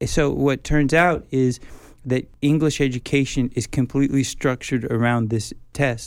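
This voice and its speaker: An ordinary speaking voice belongs to a man with an American accent who talks at a moderate pace, with very even loudness and fairly even intonation. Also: medium pitch for a man. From United States. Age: 50s. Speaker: professor. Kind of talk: interview.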